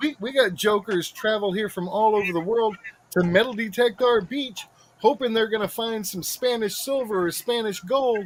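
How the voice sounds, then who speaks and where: This man's voice sits high in pitch and shows ordinary pitch variation. Noticeable background noise is present. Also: moderate pace. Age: 50s. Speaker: metal detectorist. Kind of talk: casual chat. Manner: animated.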